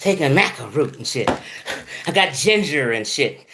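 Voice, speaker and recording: Behind a man speaking at a high pitch there is noticeable background noise. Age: 50s. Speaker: video blogger. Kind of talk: casual monologue. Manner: animated.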